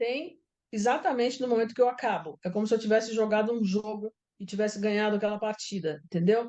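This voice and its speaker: Speaking at a very fast pace, a woman uses a fairly high pitch. Her pitch variation is ordinary. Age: 60s. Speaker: writer. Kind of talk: interview.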